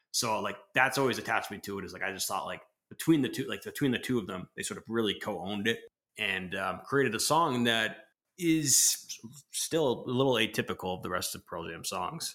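A man's medium-pitched voice, bright and sharp, at a fairly quick pace with lively intonation and big swings in loudness, on a very clean recording against a silent background. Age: 30s. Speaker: music fan podcast guest. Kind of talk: casual chat.

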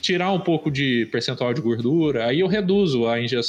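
A man with a fairly high pitch and lively intonation at a moderate pace, amid noticeable background noise. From Brazil, interior of Minas Gerais. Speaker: illustrator. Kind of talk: casual chat.

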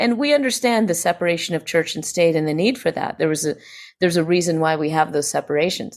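In a very clean recording with a silent background, a woman with an American accent uses an ordinary speaking voice at medium pitch with lively intonation. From US South, Greenville, South Carolina. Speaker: psychologist and scientist. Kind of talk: interview conversation.

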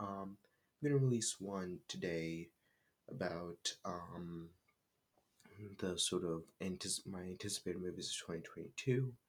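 The voice is quiet and moves at a fairly slow pace. Long pauses come often. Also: man, very deep, low pitch for a man, ordinary pitch variation. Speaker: film podcaster. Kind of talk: casual solo podcast talk. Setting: closet room at home. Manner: halting, many fillers.

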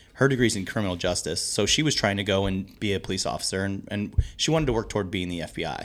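A man with an American accent speaks at a very fast pace, with hardly any pauses. His voice is fairly low, with ordinary pitch variation. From US Midwest, St. Louis area. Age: 30s. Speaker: pub owner. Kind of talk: casual interview.

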